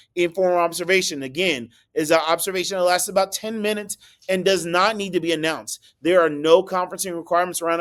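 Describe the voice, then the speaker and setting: High-pitched male voice. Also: very clean recording, silent background. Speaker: school district administrator. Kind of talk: recorded staff presentation. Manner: fast.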